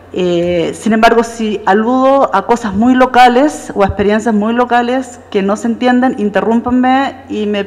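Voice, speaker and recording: Noticeable background noise runs under the recording. A woman speaks with a Chilean accent. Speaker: professor. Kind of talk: lecture. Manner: fast.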